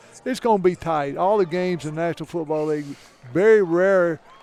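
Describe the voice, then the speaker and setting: Fairly quick speech with music in the background. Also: man. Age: 60s. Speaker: NFL football coach. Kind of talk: casual chat. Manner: halting.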